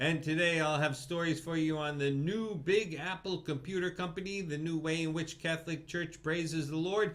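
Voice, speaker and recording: A man speaks in a high register at a moderate pace, his pitch varying in an ordinary way. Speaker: fake news anchor. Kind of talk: satirical TV news anchor read.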